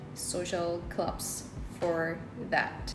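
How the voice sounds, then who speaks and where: A woman with a Korean accent speaks at a medium pitch. Music plays in the background, and the room echo is audible. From South Korea. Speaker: English learning content creator. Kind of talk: casual vlog-style talk to camera.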